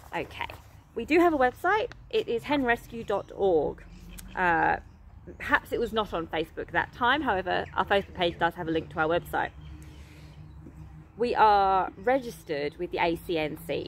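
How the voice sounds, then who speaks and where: A woman with an English accent speaks at a moderate pace, leaving long, frequent pauses. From England. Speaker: animal rescue charity founder. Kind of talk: casual vlog reading and answering an email. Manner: animated.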